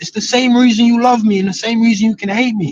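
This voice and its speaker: Loud and at a moderate pace, a man speaks with an extremely high pitch. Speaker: football streamer. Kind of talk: casual chat. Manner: animated.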